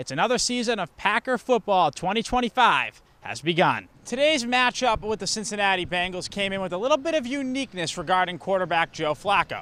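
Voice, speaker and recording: Raised, projected, high-pitched man's voice at a fairly quick pace with hardly any pauses, in a dry, close sound with no echo. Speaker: local TV sports anchor and reporter. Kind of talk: football training camp report.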